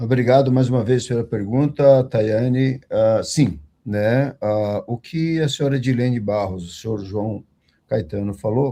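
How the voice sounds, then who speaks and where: At a fairly slow pace, a man speaks in a dark, mellow tone at medium pitch, with ordinary pitch variation. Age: 60s. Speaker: condominium management executive. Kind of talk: online panel discussion. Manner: formal.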